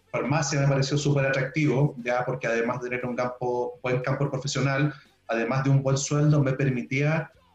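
Over background music, a man talks at a fairly quick pace in a medium pitch with flat, monotone intonation. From southern Chile (Puerto Montt). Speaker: pharmaceutical science researcher. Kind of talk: casual interview.

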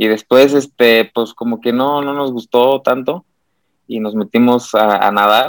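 A man speaks at a fairly slow pace with medium pitch and fairly even intonation. The sound is dry and close, with no echo. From Mexico, San Luis Potosí. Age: 30s. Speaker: Olympic swimmer. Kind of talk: interview. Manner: halting.

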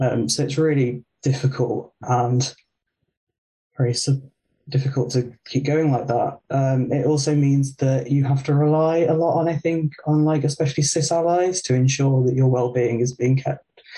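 A man speaks in a dark, mellow tone that is somewhat breathy. His intonation is fairly even. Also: moderate pace, very even loudness. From West Midlands, England (near Birmingham). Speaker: graduate student. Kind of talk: casual interview chat.

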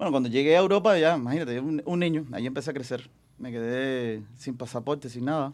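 A man rattles through his words at a very fast clip, his medium pitch showing ordinary variation. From Cuba. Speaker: singer. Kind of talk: casual chat.

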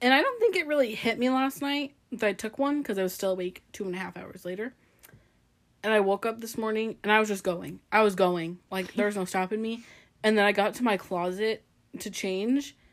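Fairly high in pitch with ordinary variation, a woman talks at a fairly quick pace in an ordinary speaking voice. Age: 20s. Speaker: podcast co-host. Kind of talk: casual chat.

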